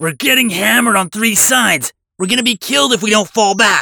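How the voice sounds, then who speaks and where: Raising and projecting his voice, a man growls through a high-pitched put-on character voice at a fairly quick pace. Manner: snarling, desperate.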